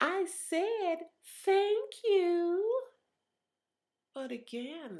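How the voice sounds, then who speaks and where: A female-sounding voice puts on a squeaky character voice pitched extremely high. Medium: read story. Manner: huffy, threatening.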